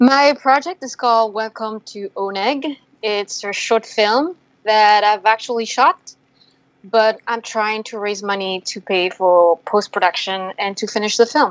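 A woman's fairly high voice with a French accent, at a fairly slow pace with ordinary pitch variation. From France. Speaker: filmmaker. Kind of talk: interview.

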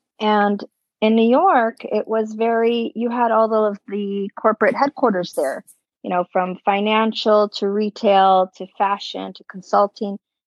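A woman talks at a fairly slow pace. Her fairly high pitch follows a fairly even intonation. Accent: American. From northwest Indiana, US Midwest. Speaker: hotel sales and marketing director. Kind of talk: casual interview chat.

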